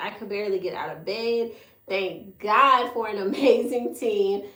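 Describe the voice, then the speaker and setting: Over noticeable background noise, a woman speaks at a moderate pace in a fairly high pitch. Her tone is animated, and the room echo is audible. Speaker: beauty academy founder and livestream host. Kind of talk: live stream talk to viewers.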